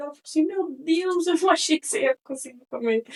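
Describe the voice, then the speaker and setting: A woman's lively intonation comes through with a dry, close sound and no echo. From Connecticut, US (Brazilian family). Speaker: podcast host. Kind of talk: casual monologue. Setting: studio.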